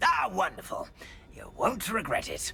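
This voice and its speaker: A raspy, put-on character voice goes at a moderate pace over clear background noise. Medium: machinima. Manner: polite, hesitant, old-fashioned.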